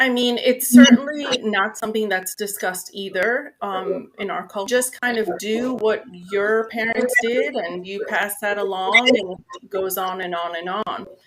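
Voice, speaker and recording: A woman speaks at a fairly slow pace with a fairly high pitch, ordinary pitch variation and hardly any pauses. Her loudness swings widely, against noticeable background noise. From New York, Spanish-speaking family. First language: Spanish. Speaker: nurse, mental health guest. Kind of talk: interview.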